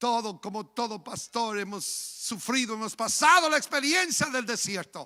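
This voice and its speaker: A man speaks at a moderate pace in an extremely high, bright and sharp voice, raised and projected, with very wide swings in pitch. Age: 60s. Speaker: pastor. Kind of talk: sermon.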